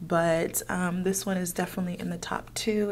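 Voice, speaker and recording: A plain, everyday voice at a moderate pace. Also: woman. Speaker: beauty vlogger. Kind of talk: get-ready-with-me makeup tutorial. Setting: office. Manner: casual, chatty with fillers.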